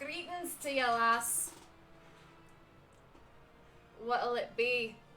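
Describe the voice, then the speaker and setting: A woman puts on a gruff character voice, pitched high and delivered very slowly, with clear background noise behind her. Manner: gruff, inconsistent accent.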